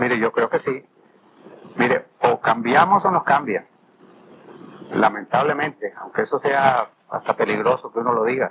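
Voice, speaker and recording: A man speaks at a moderate pace and a medium pitch, with ordinary pitch variation and long, frequent pauses. Noticeable background noise runs under his voice. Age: 70s. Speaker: retired captain and community TV founder. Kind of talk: TV interview.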